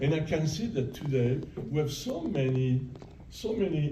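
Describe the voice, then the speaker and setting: There is noticeable background noise and audible room echo around the man who is talking. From Italy, then France from age nine. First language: Italian. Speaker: retired professor. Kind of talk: audience Q&A narrative. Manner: halting, many repetitions.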